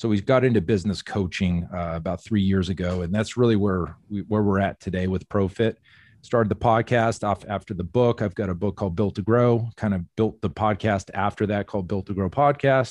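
An unremarkable speaking voice with an American accent moves at a fairly quick pace, with hardly any pauses. The sound is dry and close with no echo, over a quiet background. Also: man, fairly low pitch for a man. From Phoenix area, Arizona. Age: 40s. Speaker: gym owner and business coach. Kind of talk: casual chat. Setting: remote call.

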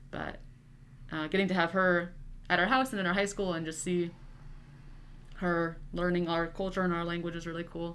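A woman with a Midwestern American accent, fairly low in pitch, at a moderate pace with long, frequent pauses and fairly even intonation, in audible room echo. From US Midwest, Nebraska. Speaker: college student. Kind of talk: casual chat.

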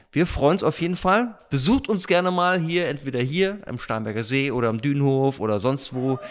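With a normal speaking voice, a man talks at a medium pitch and with lively intonation, on a very clean recording with a silent background. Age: 40s. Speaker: stand-in podcast host, youth ministry staff. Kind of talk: casual interview. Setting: dining hall at a retreat centre.

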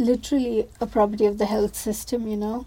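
A woman speaks with a dark, mellow tone. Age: 20s. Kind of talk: casual chat.

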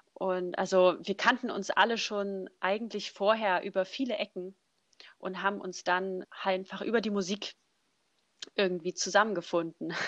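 The delivery is monotone and flat at a moderate pace, with a dry, close sound and no echo. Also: woman, medium pitch for a woman. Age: 20s. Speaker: a cappella singer. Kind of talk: casual interview.

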